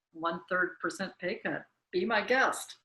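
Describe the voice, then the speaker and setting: Pitched fairly low, a woman with a plain, everyday voice speaks at a fairly slow pace with lively intonation. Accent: American. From US South. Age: 60s. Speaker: interviewee. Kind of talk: interview.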